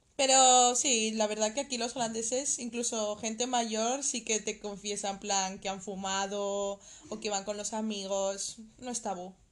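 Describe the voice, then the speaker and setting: With fairly even intonation and a fairly slow pace, a woman talks in an ordinary speaking voice at a fairly high pitch. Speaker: podcast co-host. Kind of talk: casual chat.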